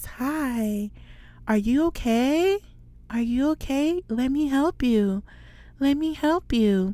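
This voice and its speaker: In a put-on character voice, a female-sounding speaker talks at a very slow pace with a high pitch, captured in a very clean recording with a silent background. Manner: fake-nice, unsettling.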